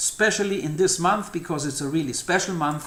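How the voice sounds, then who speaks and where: A man with a German accent and a high pitch, ordinary pitch variation, and audible room echo. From Germany. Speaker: numerology channel host. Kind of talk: monologue to camera. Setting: outdoors. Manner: halting, with fillers and repetitions.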